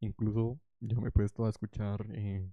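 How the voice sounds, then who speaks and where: Mumbling at a fairly slow pace, a man speaks in a flat monotone with a fairly low pitch. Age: young. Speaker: podcaster. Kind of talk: casual monologue. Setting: home recording with headphones.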